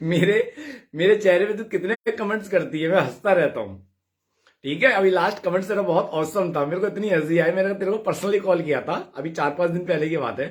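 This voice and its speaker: Loud and animated in tone, a man speaks at a high pitch with ordinary pitch variation. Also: moderate pace. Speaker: devotional live streamer. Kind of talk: casual live chat reading comments.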